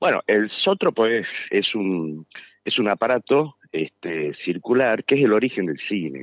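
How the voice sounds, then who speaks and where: Fairly low in pitch, a man speaks at a fairly slow pace with very wide pitch swings. The sound is dry and close, with no echo. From Tucumán, Argentina. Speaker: architect and author. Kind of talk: radio interview. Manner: hesitant, filler-heavy.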